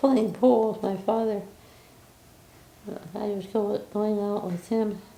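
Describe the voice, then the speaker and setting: Speaking very slowly with long, frequent pauses, a woman of medium pitch keeps her intonation fairly even. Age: 80s+. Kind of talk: interview answer. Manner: hesitant, reminiscing.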